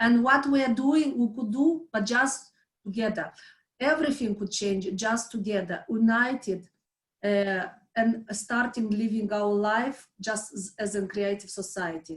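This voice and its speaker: A woman with a non-native accent speaks in a fairly high, somewhat breathy voice with ordinary pitch variation. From Moldova. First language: not English. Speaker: volunteer, former civil servant. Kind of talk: interview. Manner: halting, many fillers and restarts.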